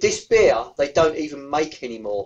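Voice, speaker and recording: This man has an Essex accent. He talks at a very slow pace. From Essex, England. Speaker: beer reviewer YouTuber. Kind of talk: podcast interview answer. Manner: casual, chatty.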